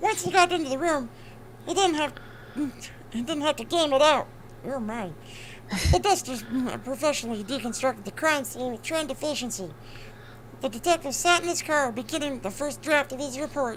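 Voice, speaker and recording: Over clear background noise, a woman speaks at a fairly quick pace and high pitch, with long, frequent pauses. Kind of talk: crime novel read aloud. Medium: game stream. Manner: wry, commenting asides.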